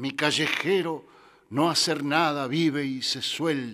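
The recording is very clean, with a silent background. A man speaks very slowly in a fairly high pitch with a bright, sharp tone and ordinary pitch variation. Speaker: radio host. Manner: animated.

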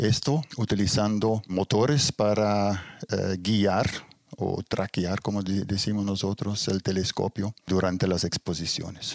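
A man speaks at a very slow pace with very even loudness, his pitch fairly low. The sound is dry and close, with no echo. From Belgium (Ghent, Flemish-speaking north). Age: 60s. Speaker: astrophotographer, retired engineer. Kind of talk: interview. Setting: home observatory. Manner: halting, many fillers.

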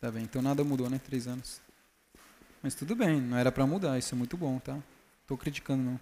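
A man speaks in a dark, mellow tone at a fairly quick pace. His intonation is fairly even, broken by long, frequent pauses. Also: medium pitch for a man. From Brazil. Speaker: missionary. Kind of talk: sermon.

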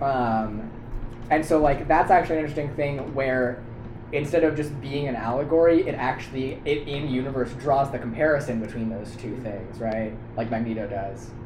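A medium-pitched man with ordinary pitch variation amid noticeable background noise. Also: moderate pace. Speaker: college student podcast co-host. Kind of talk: casual chat.

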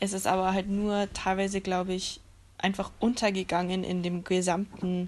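A woman's medium-pitched voice in a flat monotone. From Germany. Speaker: podcast guest. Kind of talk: casual chat.

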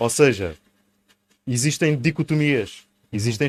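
A man speaks at a moderate pace. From Sines, Alentejo coast, Portugal. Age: 30s. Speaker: local election candidate. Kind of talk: interview.

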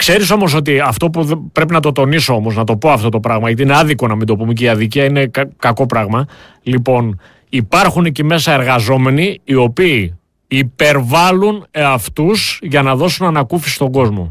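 His intonation lively and his pitch medium, a man talks at a moderate pace in an ordinary speaking voice. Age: 50s. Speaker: political commentator. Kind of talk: political talk show discussion. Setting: studio.

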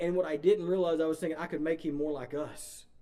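At a very fast pace, a man talks in a fairly high-pitched voice with a dark, mellow tone. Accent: East Texas. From East Texas. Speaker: pastor. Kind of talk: sermon. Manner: informal, conversational, filler-heavy.

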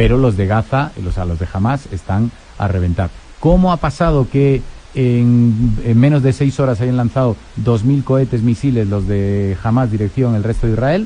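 A plain, everyday voice from a man, moderate in pace, with ordinary pitch variation. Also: medium pitch for a man. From Spain, Madrid. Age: 40s. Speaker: historian and newspaper editor. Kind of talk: radio interview.

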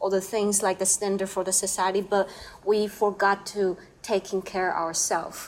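With a Chinese accent, a woman talks at a medium pitch. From Taiwan. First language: Mandarin Chinese. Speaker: painter. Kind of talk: casual chat. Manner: halting.

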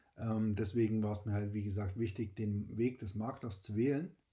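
At a fairly quick pace, a man with a fairly low pitch and a dark, mellow, somewhat breathy tone keeps his intonation fairly even. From Saxony, eastern Germany. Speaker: podcast host, insurance broker. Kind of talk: personal monologue. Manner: hesitant with fillers.

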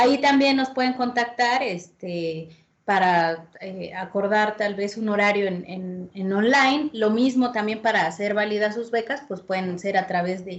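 With an ordinary speaking voice and fairly high pitch, a woman speaks at a fairly slow pace using ordinary pitch variation. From Puebla, Mexico. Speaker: musician and fandango dancer. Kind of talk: casual interview. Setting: video call.

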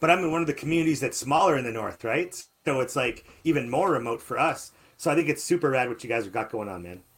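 A man at a very fast pace, animated in tone, with lively intonation and big swings in loudness. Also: fairly high pitch for a man. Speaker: radio show host. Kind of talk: casual chat. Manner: animated, jokey.

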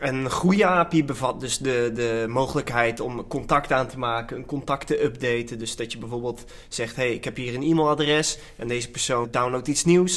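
At a moderate pace, a man of medium pitch talks in a plain, everyday voice with ordinary pitch variation. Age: 20s. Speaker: podcast host. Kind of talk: casual chat.

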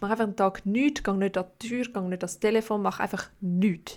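At a moderate pace, a plain, everyday voice speaks with fairly even intonation in a very clean recording with a silent background. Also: woman. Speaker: podcast host. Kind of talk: casual chat.

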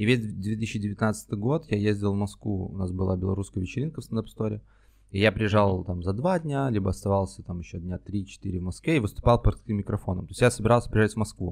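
In a very clean recording with a silent background, a man with a fairly low pitch talks very fast with ordinary pitch variation. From Belarus, Minsk. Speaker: stand-up comedian and screenwriter. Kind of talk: casual chat.

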